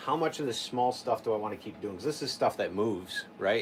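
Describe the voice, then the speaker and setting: A man talks at a fairly quick pace with medium pitch and ordinary pitch variation. Noticeable background noise is present. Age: 40s. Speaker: chainsaw carver. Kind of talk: casual chat. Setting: livestream.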